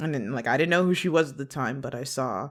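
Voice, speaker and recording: In an American accent, a woman speaks with a very deep, low pitch and lively intonation. The recording is very clean, with a silent background. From US Midwest, Chicago western suburbs, Illinois. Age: 20s. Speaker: animation production coordinator. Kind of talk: podcast interview.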